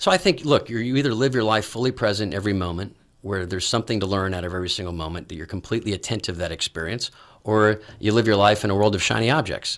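Over a quiet background, the speaker talks at a very fast pace with an American accent and ordinary pitch variation. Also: man, fairly low pitch for a man. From Texas, Dallas. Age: 40s. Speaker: executive search company CEO; interview guest. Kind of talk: interview. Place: studio. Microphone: studio mic.

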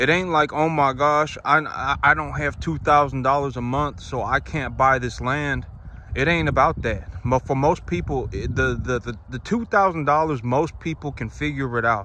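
With ordinary pitch variation and a fairly slow pace, a man speaks in a dry sound with no echo, light background noise behind him. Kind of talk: casual vlog chat. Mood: earnest, reflective. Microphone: phone near.

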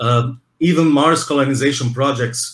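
The voice is somewhat breathy and has a Brazilian accent. Its pitch variation is ordinary. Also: man. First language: Portuguese. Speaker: museum interviewer. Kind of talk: interview. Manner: halting.

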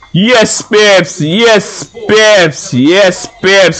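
Over music in the background, a man speaks in an animated tone with lively intonation. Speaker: gaming YouTuber. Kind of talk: excited play-by-play commentary over a FIFA match. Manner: animated, repeats phrases for emphasis, shouting goals.

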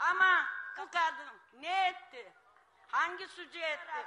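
With light background noise behind her, a woman talks in a raised, projected voice at an extremely high pitch, her intonation fairly even. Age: 70s. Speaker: elderly supporter at rally. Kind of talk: political rally speech. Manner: emotional, impassioned. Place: stage. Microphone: handheld.

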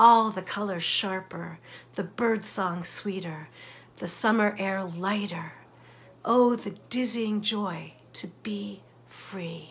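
At a very slow pace, a woman talks with fairly even intonation and a somewhat breathy sound. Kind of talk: sermon reflection. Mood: earnest, reflective, warm. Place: home room. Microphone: phone near.

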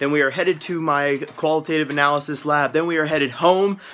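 Talking at a very fast pace, a man is heard over light background noise. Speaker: college student vlogger. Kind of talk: casual vlog chat. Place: home room. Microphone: phone near.

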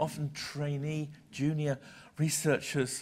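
Somewhat breathy, a man speaks at a fairly high pitch over light background noise. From Britain. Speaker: senior journal publisher; visiting publisher lecturer. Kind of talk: lecture. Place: hall.

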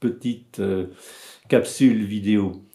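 With a dark, mellow tone and ordinary pitch variation, a man speaks at a very slow pace over a quiet background. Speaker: psychoanalyst and author. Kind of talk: book presentation video. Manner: halting. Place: home room. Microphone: webcam.

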